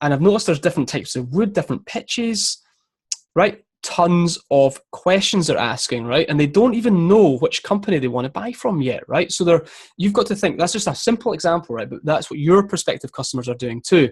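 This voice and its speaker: A man with a British accent and a high pitch speaks at a fairly quick pace with lively intonation. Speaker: content marketing consultant. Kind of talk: live-streamed tutorial. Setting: Facebook Live stream. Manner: fast.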